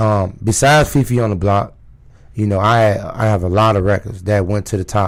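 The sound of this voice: A man with a raspy voice and fairly low pitch speaks at a moderate pace with fairly even intonation.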